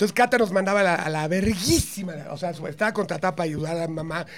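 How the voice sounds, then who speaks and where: The speaker is a man with a high pitch. He talks at a fairly quick pace with ordinary pitch variation. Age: 50s. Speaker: comedian. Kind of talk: casual chat.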